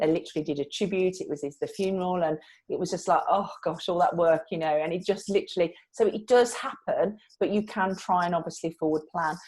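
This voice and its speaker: A woman talks in a Brummie accent. Her pace is fairly quick. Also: medium pitch for a woman, ordinary pitch variation. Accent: Brummie (Birmingham). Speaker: PR trainer. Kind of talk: live online training session. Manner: conversational, with false starts.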